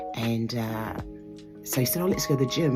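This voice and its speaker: A woman with an Australian accent, a very deep, low pitch and lively intonation, with music in the background. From Southern Tasmania, Australia. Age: 50s. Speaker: bodybuilding competitor. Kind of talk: interview answer. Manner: hesitant, conversational.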